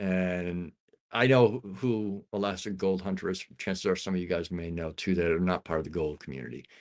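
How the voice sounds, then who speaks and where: On a very clean recording with a silent background, a man speaks with a very deep, low pitch and ordinary pitch variation. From upstate New York. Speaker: streamer. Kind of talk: casual chat. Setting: livestream. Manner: fast.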